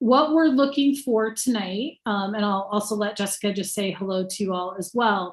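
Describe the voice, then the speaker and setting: A woman speaks at a moderate pace in a medium pitch. Her voice is somewhat breathy, and her pitch varies in an ordinary way. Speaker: city staff member. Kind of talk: public meeting briefing.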